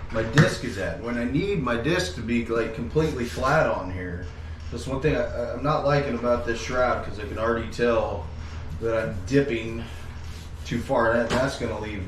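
Speaking at a moderate pace, a man is heard with audible room echo and noticeable background noise. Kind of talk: casual DIY vlog commentary. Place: garage. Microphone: camera far.

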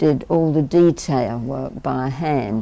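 A woman speaks at a very slow pace. Her voice is very deep and low, with ordinary pitch variation. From England. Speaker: war bride interviewee; interviewee. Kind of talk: oral history interview. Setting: recorded interview on camera at a history center. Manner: chatty, laughs often. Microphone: lapel.

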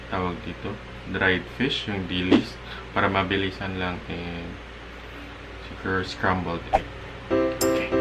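A man's very slow speech, broken by long, frequent pauses, over loud background music. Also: ordinary pitch variation. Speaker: vlogger. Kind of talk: casual vlog chat. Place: kitchen. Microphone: phone near.

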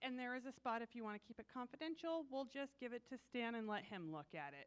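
At a fairly quick pace, a woman speaks with a high pitch. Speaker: church announcer. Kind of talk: church announcements. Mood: upbeat, welcoming. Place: church.

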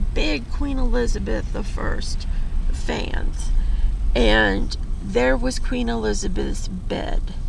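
Someone speaks at a very slow pace in a dry sound with no echo, with noticeable background noise. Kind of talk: casual conversation. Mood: amused, nostalgic. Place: car. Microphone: camera far.

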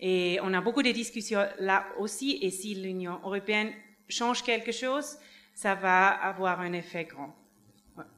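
A woman with a non-native accent speaks at a fairly slow pace, medium in pitch with ordinary pitch variation. Her loudness swings a lot. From Switzerland. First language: not French (speaking French). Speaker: NGO advocate, witness; witness. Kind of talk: tribunal testimony. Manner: halting. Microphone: podium.

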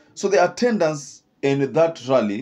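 With a Kenyan accent, a man speaks with lively intonation. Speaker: political commentator. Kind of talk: scripted-style political commentary. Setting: online video. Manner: halting, filler-heavy. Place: studio. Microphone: studio mic.

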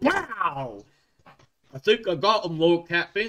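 Speaking at a fairly slow pace, a man puts on a character voice pitched high.

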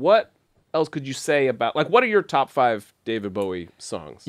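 A man speaks at a moderate speed, with a quiet background behind him. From mid-Atlantic United States. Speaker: podcast host. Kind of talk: casual podcast chat. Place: studio. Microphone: studio mic.

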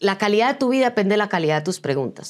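A woman talks at a very fast pace in an animated tone. Her intonation is lively, and the background is quiet. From Colombia, Medellín. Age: 50s. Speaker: business coach and speaker; business coach, speaker. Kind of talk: interview. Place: studio. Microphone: lapel.

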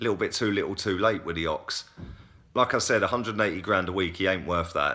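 A man's very deep, low voice with a bright, sharp tone. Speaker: football fan vlogger. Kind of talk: casual vlog commentary. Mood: frustrated opinionated. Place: home room. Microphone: phone near.

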